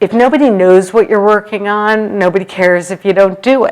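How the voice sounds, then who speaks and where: A woman's animated, medium-pitched voice with lively intonation at a moderate pace. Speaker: HR executive and leadership speaker. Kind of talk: conference talk. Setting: stage with audience. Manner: loud.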